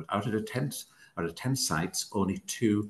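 A man is speaking. His pace is moderate and his voice has vocal fry. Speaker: refrigeration engineer doing site surveys. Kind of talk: webinar presentation. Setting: video call. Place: home room. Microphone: webcam.

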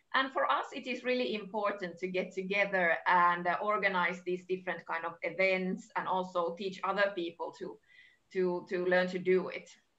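With a Finnish accent and a bright, sharp tone, a woman talks at a moderate pace with fairly even intonation. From Finland. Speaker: heritage agency advisor; workshop host. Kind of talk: online webinar presentation. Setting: video call. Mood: warm, cheerful. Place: home room. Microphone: video call.

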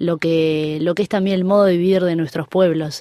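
At a moderate pace, a woman speaks in a dark, mellow, fairly low voice with ordinary pitch variation. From Uruguay. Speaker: tango singer. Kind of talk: interview. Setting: studio.

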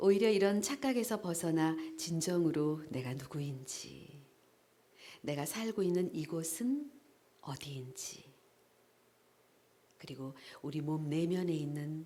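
Over noticeable background noise, a woman with a fairly low pitch talks at a very slow pace, leaving long, frequent pauses. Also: lively intonation. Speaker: voice actor. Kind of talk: essay reading. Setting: live event.

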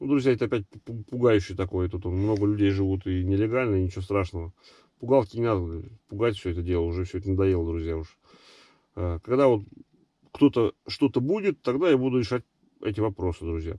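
Dry and echo-free, a man's somewhat breathy, fairly low voice has a dark, mellow tone and ordinary pitch variation, moving at a fairly quick pace broken by long, frequent pauses. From Russia, Nizhny Novgorod; Russia. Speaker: travel vlogger. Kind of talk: casual chat, reading viewer comments. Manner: casual, halting.

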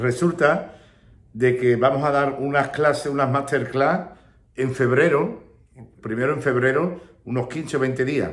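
A man talks at a fairly slow pace. His voice is somewhat breathy. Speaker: flamenco teacher. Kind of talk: casual vlog chat. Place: home room. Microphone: phone near.

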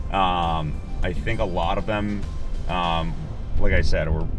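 A man speaks at a fairly slow pace in a very deep, low voice with ordinary pitch variation, as clear music plays in the background. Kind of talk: interview answer. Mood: upbeat, enthusiastic. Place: car.

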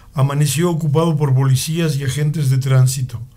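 A man with a dark, mellow tone and a fairly high pitch speaks at a moderate pace, his intonation fairly even and his voice somewhat breathy. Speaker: radio chronicle narrator. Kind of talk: radio chronicle narration, historical news-style reading. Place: studio.

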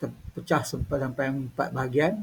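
With ordinary pitch variation, a man's fairly high, somewhat breathy voice moves at a moderate pace. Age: 50s. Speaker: YouTuber. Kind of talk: casual monologue.

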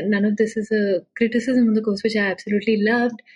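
Music plays in the background as a woman speaks. Her voice sits at a medium pitch with fairly even intonation. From India, Pune. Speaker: data journalist. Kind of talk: interview conversation.

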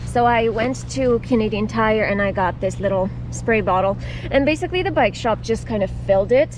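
Noticeable background noise sits under a woman speaking at a moderate pace, with a dry sound and no echo. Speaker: touring cyclist vlogger. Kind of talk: casual vlog chat. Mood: cheerful, grateful. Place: street. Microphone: helmet.

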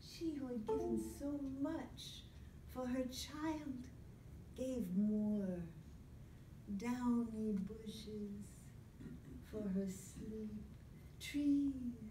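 Speech comes at a very slow pace with long, frequent pauses and ordinary pitch variation. Light background noise and audible room echo are present. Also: woman. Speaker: storyteller. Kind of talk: dramatic storytelling performance. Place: meeting room. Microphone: phone near.

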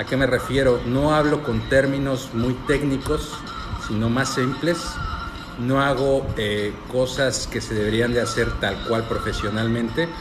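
Fairly slow speech with fairly even intonation comes through noticeable background noise. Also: man. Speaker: cooking content creator. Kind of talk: casual live-stream chat answering questions. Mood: relaxed, friendly. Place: home room. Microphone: phone near.

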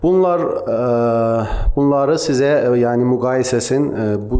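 Very slow male speech with ordinary pitch variation. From Iran, Tabriz (Azerbaijani-speaking); Iran. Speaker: physical medicine and pain specialist; conference presenter. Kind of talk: conference lecture; lecture. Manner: halting, many filler sounds. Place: hall. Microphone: podium.

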